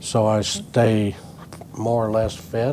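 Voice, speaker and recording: The man's voice has a dark, mellow tone. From New Mexico (Fort Sumner, east central). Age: 80s+. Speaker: retired company co-founder and former CEO. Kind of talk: interview.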